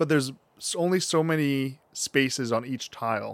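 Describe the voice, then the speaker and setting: Recorded dry and close with no echo, a man with a plain, everyday voice talks at a fairly high pitch with ordinary pitch variation. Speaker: podcast co-host. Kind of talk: casual chat.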